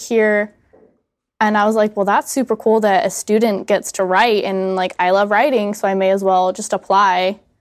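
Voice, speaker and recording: A woman's unremarkable speaking voice, fairly high in pitch, at a moderate pace in a very clean recording with a silent background. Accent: American. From United States. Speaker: student magazine editor. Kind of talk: casual chat.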